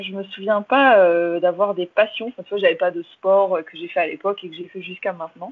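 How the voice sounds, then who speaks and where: This woman has a plain, everyday voice at medium pitch with ordinary pitch variation. She talks at a fairly quick pace, with big swings in loudness. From London, England, with Irish father. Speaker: English teaching entrepreneur. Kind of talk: interview.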